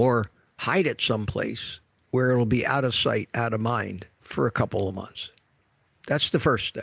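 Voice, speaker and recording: In a very clean recording with a silent background, a man talks at a moderate pace. His medium-pitched voice has vocal fry and ordinary pitch variation. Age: 70s. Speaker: carnivore diet health vlogger. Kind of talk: casual talk to camera. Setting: gym.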